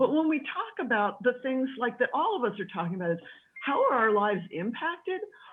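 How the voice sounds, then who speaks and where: A woman's high voice swings very widely in pitch at a fairly quick pace, with noticeable background noise behind her. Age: 60s. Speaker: panelist on childless women. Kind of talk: group discussion.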